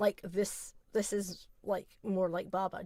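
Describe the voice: A put-on character voice drones in a flat monotone at middle pitch, nasal and at a fairly slow pace. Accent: Scottish.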